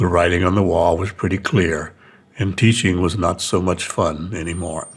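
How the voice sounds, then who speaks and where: Here a man talks at a very deep, low pitch. His voice is somewhat breathy, with fairly even intonation. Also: moderate pace. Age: 70s. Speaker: retired teacher, video creator. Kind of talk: talking-head video essay.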